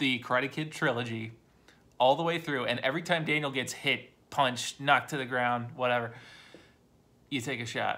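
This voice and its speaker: The tone is bright and sharp. Intonation stays fairly even. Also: man. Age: 40s. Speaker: YouTuber reviewing movies. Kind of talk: casual monologue. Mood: relaxed, opinionated. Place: home room. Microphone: phone near.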